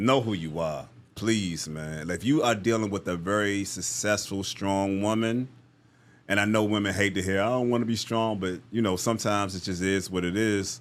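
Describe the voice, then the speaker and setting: A man with a normal speaking voice talks at a fairly low pitch and a moderate pace, with ordinary pitch variation. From US East Coast. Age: 50s. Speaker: motivational speaker. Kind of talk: podcast interview.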